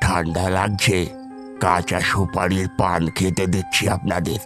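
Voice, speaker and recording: A raspy, put-on character voice moves at a fairly slow pace. Clear music plays in the background. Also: man, very deep, low pitch for a man. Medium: audio drama. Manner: coaxing, storytelling.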